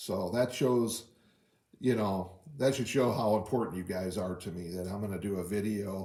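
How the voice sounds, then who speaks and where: A man's dark, mellow tone at a moderate pace, with ordinary pitch variation and audible room echo. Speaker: diorama hobbyist YouTuber. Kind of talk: tutorial. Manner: effortfully keeping voice up; halting, many fillers.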